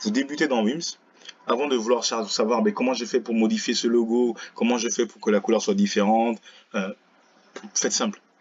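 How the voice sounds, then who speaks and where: Against noticeable background noise, a man speaks at medium pitch with ordinary pitch variation. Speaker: teacher. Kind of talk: tutorial. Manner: fast; casual, relaxed.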